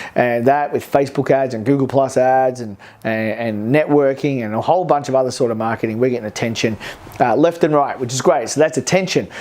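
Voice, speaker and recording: A man with an Australian accent, medium pitch, ordinary pitch variation and a fairly quick pace, over noticeable background noise. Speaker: business coach. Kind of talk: to-camera vlog talk. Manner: fast.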